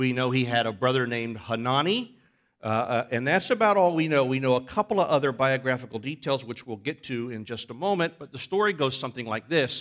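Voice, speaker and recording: An unremarkable speaking voice from a man at medium pitch, fairly quick pace and lively intonation, in a very clean recording with a silent background. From Florida. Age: 40s. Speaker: pastor. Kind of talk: sermon. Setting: church.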